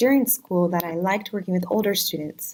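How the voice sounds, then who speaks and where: A woman speaks with a Virginia accent. Her pitch is medium. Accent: American, Virginia. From US, Virginia. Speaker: special education teacher. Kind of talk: casual self-introduction video. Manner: casual, some hesitations.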